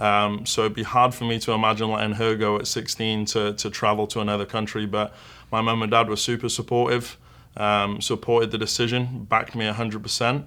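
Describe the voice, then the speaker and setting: With an American accent, a man talks at a fairly quick pace in a fairly low, bright, sharp voice and monotone, flat intonation. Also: very clean recording, silent background. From North Wales, Anglesey. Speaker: car dealership service director. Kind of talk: testimonial interview. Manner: hesitant, many fillers and repetitions.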